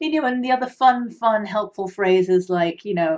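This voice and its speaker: A woman with an English accent at a moderate pace, with ordinary pitch variation. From England. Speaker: minister and grief recovery specialist. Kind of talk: talk to camera. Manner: casual, hesitant with fillers.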